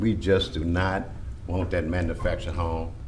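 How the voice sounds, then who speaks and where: Amid audible room echo, a man with a Louisiana accent speaks at a moderate pace with very wide pitch swings. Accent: Louisiana Southern US. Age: 60s. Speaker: church member opposing request. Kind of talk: public hearing testimony.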